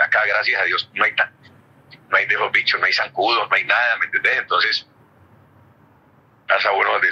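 A man is speaking. His pace is very fast. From Colombia. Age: 70s. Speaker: former footballer and youth coach. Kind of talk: interview answer.

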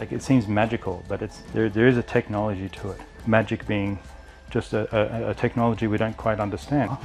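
Fairly quick, fairly even speech from a man with an Australian accent and a fairly low pitch, over faint music in the background. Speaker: martial arts instructor. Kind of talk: martial arts instruction. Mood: calm, reflective. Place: home room.

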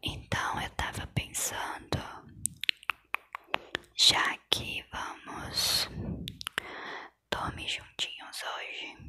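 Soft-spoken and whispering, a woman talks at a very slow pace with long, frequent pauses against a quiet background. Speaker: ASMR role-play creator. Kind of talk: soft-spoken ASMR role-play. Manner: soft close-mic ASMR whisper. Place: home room. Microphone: lapel.

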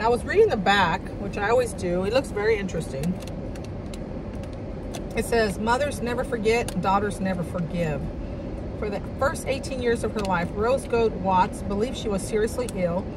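Noticeable background noise surrounds a woman speaking at a fairly quick pace with ordinary pitch variation and a dry sound with no echo. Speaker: vlogger. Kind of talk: casual vlog chat, reading aloud. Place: car. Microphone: phone near.

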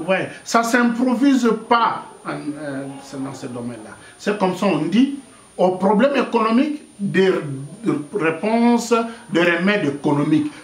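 A man with a high-pitched voice speaks at a fairly slow pace, with long, frequent pauses. His pitch swings very widely, and the room echo is audible. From DR Congo. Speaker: political activist; interviewee. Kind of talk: interview. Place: home room.

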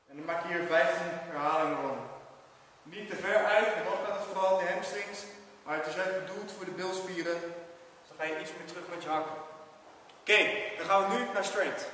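A high-pitched man's voice with fairly even intonation at a moderate pace, with strong room echo and light background noise. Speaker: fitness instructor. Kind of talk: tutorial. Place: gym.

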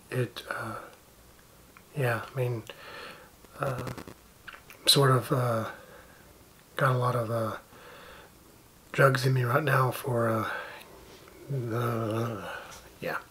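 A man with a medium-pitched voice talks very slowly in a monotone, flat intonation, leaving long, frequent pauses over noticeable background noise. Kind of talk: casual vlog talk to camera. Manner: halting, many fillers.

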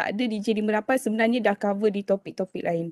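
A woman's voice comes through dry, with no echo, against a quiet background. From Malaysia. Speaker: university lecturer and researcher; presenter. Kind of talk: online town hall presentation. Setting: video call. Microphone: video call.

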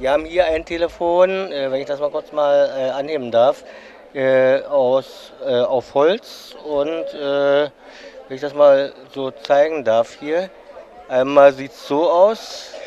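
Amid noticeable background noise, a fairly high-pitched man speaks very slowly with long, frequent pauses, fairly even intonation and big swings in loudness. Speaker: interviewer at a hobby exhibition. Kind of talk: interview at an exhibition.

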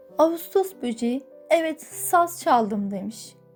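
Against background music, a woman with a fairly high pitch speaks very slowly, her pitch swinging very widely. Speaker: voice-over narrator. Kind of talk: children's fairy tale reading.

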